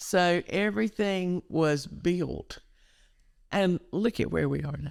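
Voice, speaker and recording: In a Southern US accent, a woman talks very slowly. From eastern North Carolina. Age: 70s. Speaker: educational counselor. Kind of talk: interview. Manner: animated.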